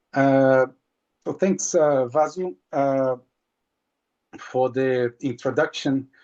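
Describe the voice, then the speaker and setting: A man speaks in a Portuguese accent at a very slow pace, with long, frequent pauses. His voice is medium-pitched, and his intonation fairly even. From Brazil. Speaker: marine scientist. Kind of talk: webinar presentation. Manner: halting.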